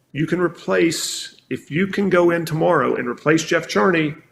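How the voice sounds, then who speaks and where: A man's fairly high-pitched voice with vocal fry. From South Carolina, US South. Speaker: marketing executive. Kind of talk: podcast interview. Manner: fast; animated.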